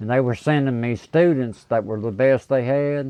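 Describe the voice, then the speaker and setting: A man talks with fairly even intonation in an American accent. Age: 60s. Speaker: guitar amp repair technician. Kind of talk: casual interview chat.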